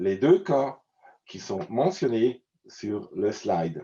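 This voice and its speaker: With a Swiss German accent, a man speaks at a very slow pace in a dark, mellow tone with vocal fry. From German-speaking Switzerland. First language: Swiss German (speaking French). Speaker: conference presenter. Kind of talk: conference introduction. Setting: virtual online event. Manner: halting, many hesitations.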